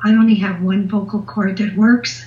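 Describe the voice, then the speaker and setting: A woman with a dark, mellow, somewhat breathy tone speaks at medium pitch and a moderate pace, with ordinary pitch variation. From Canada, southern Ontario. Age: 70s. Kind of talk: interview answers, casual chat. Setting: phone or video call.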